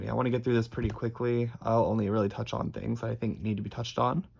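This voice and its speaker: A man's raspy, put-on character voice at a medium pitch, very fast pace and fairly even intonation, with light background noise. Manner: rushed, wanting to get through it quickly.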